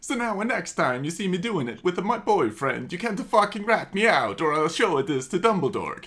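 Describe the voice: Someone does plain reading aloud, the intonation lively throughout.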